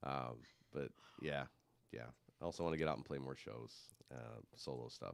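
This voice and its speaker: A man with a very deep, low pitch and vocal fry speaks at a moderate pace. His intonation stays fairly even, broken by long, frequent pauses. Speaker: musician and audio engineer. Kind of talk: casual chat.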